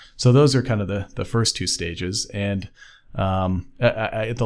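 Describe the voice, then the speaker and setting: A man's intonation stays fairly even throughout this very clean recording, where the background is silent. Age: 30s. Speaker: software engineer. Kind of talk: interview. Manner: halting.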